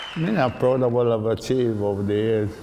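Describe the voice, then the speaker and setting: Fairly even intonation with audible room echo. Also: man. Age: 60s. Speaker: bodybuilder. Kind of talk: interview.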